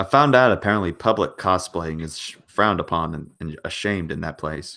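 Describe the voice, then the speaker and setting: On a very clean recording with a silent background, a man with an American accent speaks in a very deep, low pitch, his bright, sharp tone carrying lively intonation and big swings in loudness. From United States. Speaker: channel host. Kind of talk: casual chat.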